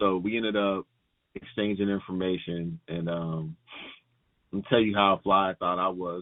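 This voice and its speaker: Very deep, low male speech with fairly even intonation, delivered at a moderate speed. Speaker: podcast guest. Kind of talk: casual chat.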